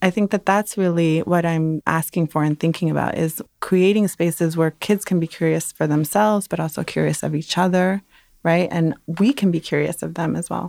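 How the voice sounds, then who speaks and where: A plain, everyday voice from a woman with an American accent, fairly low in pitch with fairly even intonation, in a dry, close sound with no echo. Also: moderate pace. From Brooklyn, New York (emigrated from Dominican Republic). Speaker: education professor and researcher. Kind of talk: interview.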